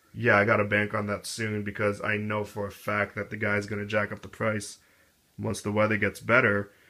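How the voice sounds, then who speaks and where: A man's mumbling, fairly low voice with a bright, sharp tone and monotone, flat intonation at a moderate pace. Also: very clean recording, silent background. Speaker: skateboard hobbyist reviewer. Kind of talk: casual product review.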